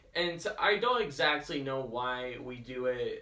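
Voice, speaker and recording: Mumbling in a bright, sharp tone, a man speaks at a fairly high pitch. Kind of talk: casual talk to camera. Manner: hesitant, with long pauses, mumbling and stuttering; improvised, conversational.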